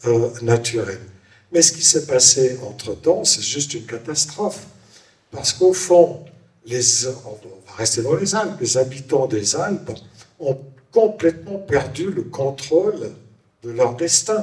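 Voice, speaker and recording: A man speaks very slowly with lively intonation, fairly high pitch, big swings in loudness, and long, frequent pauses. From Switzerland, Valais. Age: 70s. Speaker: author. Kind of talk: panel discussion.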